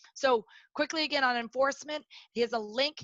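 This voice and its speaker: Talking at a fairly quick pace, a woman uses ordinary pitch variation. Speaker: workplace safety trainer. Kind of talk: webinar presentation. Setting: online webinar. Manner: fast; loud.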